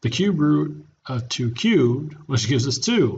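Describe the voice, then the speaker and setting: A man's somewhat breathy, fairly high-pitched voice with audible room echo. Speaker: math teacher. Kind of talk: lecture.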